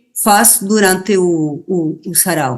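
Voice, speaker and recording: This woman speaks in an Argentine accent. Her pitch variation is ordinary. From Argentina. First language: Spanish (speaking Portuguese). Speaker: writer, poet and feminist activist. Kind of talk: interview. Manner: halting, many fillers and repeats.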